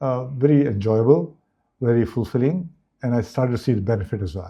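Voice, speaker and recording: A man speaks at a very fast pace. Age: 60s. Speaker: business executive. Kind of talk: interview.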